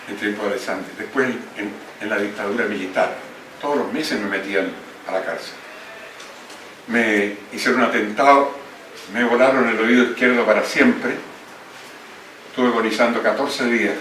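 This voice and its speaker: A man with a medium pitch talks at a moderate pace with fairly even intonation and long, frequent pauses, amid noticeable background noise and audible room echo. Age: 80s+. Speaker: book editor and former politician. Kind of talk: speech at book launch.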